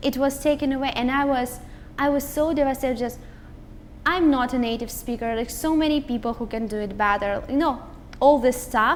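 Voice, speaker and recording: A woman with a Russian accent and a high pitch. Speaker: motivational speaker. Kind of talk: interview conversation.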